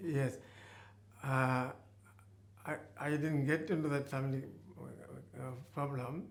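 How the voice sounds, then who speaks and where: Room echo can be heard as a man speaks fairly slowly, with long, frequent pauses. His fairly high voice stays monotone and flat. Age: 80s+. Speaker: retired GP. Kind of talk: testimony interview. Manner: halting.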